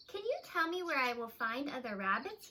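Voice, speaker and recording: A put-on character voice at a fairly quick pace, with very wide pitch swings. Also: woman, high pitch for a woman. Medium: read story.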